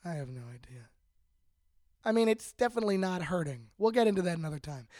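A gravelly, slightly mellow male voice with big pitch swings on a very clean recording with a silent background

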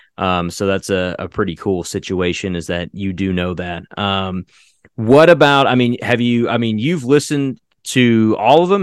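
Over a quiet background, a man with a plain, everyday voice talks at a fairly quick pace, medium in pitch and lively in intonation. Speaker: podcast creator and voice actor. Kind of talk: casual interview. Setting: video call.

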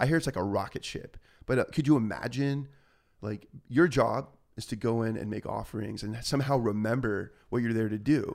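Speaking at a fairly quick pace with a Southern Californian accent, the man has a medium pitch and ordinary pitch variation. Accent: Southern California American. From Orange County, California. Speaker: musician. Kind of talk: casual chat.

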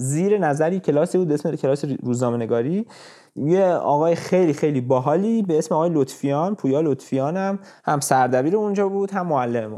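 Quick-paced and lively in intonation, a man speaks with a dark, mellow tone. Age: 20s. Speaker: business graduate. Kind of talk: casual chat.

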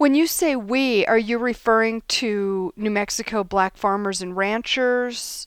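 In a plain, everyday voice, a woman speaks at a fairly slow pace with a fairly high pitch and hardly any pauses. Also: ordinary pitch variation. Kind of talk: podcast interview. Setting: video call.

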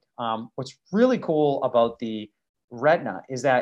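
In an American accent, a normal speaking voice moves at a fairly slow pace with lively intonation. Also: man. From Massachusetts. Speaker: optician and podcast co-host. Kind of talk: casual educational chat.

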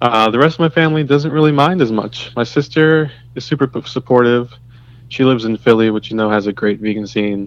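This man talks at a fairly quick pace in a plain, everyday voice. His pitch is medium, with ordinary pitch variation. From US, Trinidadian immigrant household. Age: 20s. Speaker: medical laboratory scientist. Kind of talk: casual interview chat.

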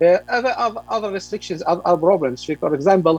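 A man speaks with an Arabic accent at a moderate pace. The sound is dry and close, with no echo. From Palestine, West Bank (Ramallah). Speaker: journalist. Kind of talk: radio interview.

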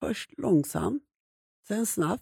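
A woman speaks very slowly at a medium pitch. Her pitch swings very widely. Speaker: survivor telling her life story. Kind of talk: personal testimony in an interview. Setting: studio.

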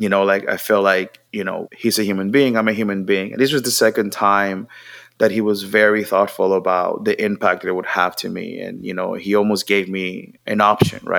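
Speaking in a Puerto Rican accent, a man keeps his fairly low voice monotone and flat. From Puerto Rico, Mayagüez. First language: Spanish. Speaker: creative strategist, marketing entrepreneur. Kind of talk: interview.

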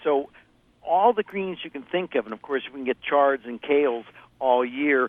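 A man with an American accent speaks at a moderate pace in an ordinary speaking voice, his pitch medium. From US Midwest, Ohio. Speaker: produce market expert. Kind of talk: casual chat.

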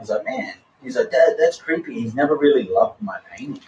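The speaker is a man with an Australian accent. He talks very fast. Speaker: artist and former drummer. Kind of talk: interview, personal story. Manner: casual, animated.

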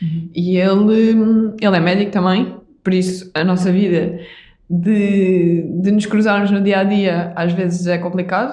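Her tone dark and mellow, a woman speaks at a medium pitch and a fairly slow pace with monotone, flat intonation and very even loudness, in audible room echo. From Portugal, Algarve (Vila Real de Santo António). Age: 20s. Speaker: doctor and padel athlete. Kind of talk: interview conversation.

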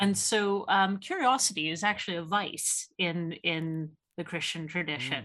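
In a Canadian accent, a woman speaks at a fairly slow pace. Her tone is bright and sharp, with a fairly low pitch. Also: ordinary pitch variation. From Canada. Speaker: theology researcher and author. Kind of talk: casual interview.

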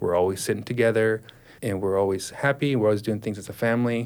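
An American accent in a plain, everyday voice, its pitch varying in an ordinary way. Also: man. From Texas, Dallas. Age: 40s. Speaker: guest sharing faith testimony. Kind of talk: testimony.

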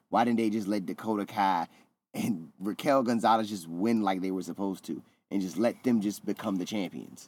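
A man with a normal speaking voice and fairly low pitch talks at a fairly quick pace. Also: ordinary pitch variation. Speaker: wrestling podcast co-host. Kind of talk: casual banter.

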